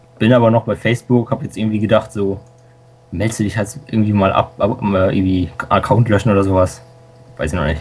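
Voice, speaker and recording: The speech moves at a fairly quick pace with fairly even intonation and long, frequent pauses, over noticeable background noise. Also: man, fairly low pitch for a man. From Lower Saxony, Germany. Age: young. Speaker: school student and software hobbyist. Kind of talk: casual radio interview.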